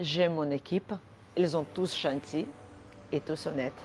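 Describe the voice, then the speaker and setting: Using a very deep, low pitch, a woman with an Armenian accent speaks at a fairly slow pace with ordinary pitch variation. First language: Armenian (speaking French). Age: 40s. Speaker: order picker. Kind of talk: company video interview.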